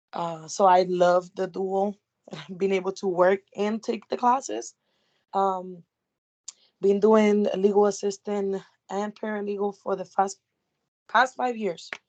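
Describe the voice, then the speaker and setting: With a strong Puerto Rican accent, a woman speaks fairly slowly at a medium pitch, leaving long, frequent pauses. Her intonation is fairly even, and the sound is dry and close with no echo. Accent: thick Puerto Rican Spanish. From Puerto Rico. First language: Spanish. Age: 20s. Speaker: paralegal student, legal assistant. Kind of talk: self-introduction in class.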